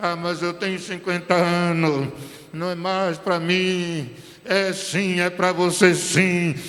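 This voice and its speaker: A man with a high pitch, monotone, flat intonation and a very slow pace, amid noticeable background noise and audible room echo. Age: 70s. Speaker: pastor. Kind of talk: sermon.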